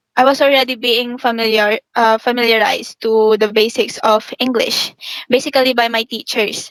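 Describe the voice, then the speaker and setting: A woman with a Filipino accent, high in pitch, at a moderate pace, in a dry, close sound with no echo. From Philippines. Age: young. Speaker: university student. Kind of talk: interview.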